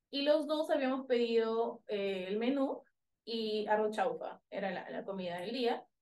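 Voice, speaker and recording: A woman's fairly high-pitched voice, a normal speaking voice, at a fairly slow pace with ordinary pitch variation. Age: 30s. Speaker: startup founder. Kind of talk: interview.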